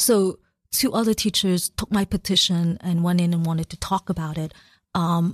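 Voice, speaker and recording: A woman talks at a moderate pace with a fairly low pitch. Her voice is somewhat breathy. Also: very clean recording, silent background. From China and Macau, moved to US at eleven. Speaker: oil painter and labor organizer. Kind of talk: radio interview. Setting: radio studio. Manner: halting, many fillers.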